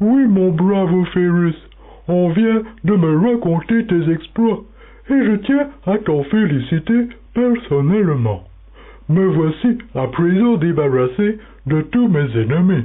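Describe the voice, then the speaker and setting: A man in a put-on character voice speaks fairly slowly and high for a man, his pitch swinging very widely, his loudness very even, with long, frequent pauses. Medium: audio drama.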